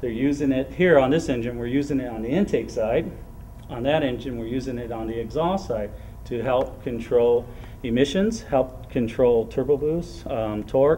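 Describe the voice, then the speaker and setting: A man at a moderate pace with ordinary pitch variation, light background noise behind him. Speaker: technical training instructor. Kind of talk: technical explanation to a group. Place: workshop. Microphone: camera far.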